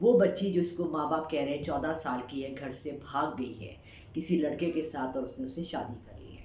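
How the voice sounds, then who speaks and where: A woman's very deep, low voice with ordinary pitch variation and big swings in loudness, at a moderate pace with hardly any pauses, amid noticeable background noise and audible room echo. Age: 60s. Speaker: psychic reader and YouTuber. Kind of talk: opinion monologue.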